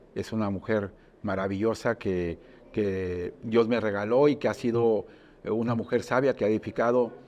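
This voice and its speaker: Speaking in an unremarkable speaking voice, a man keeps a medium pitch, ordinary pitch variation and a moderate pace. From Mexico, Puerto Vallarta (Jalisco). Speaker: business chamber director. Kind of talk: monologue presentation.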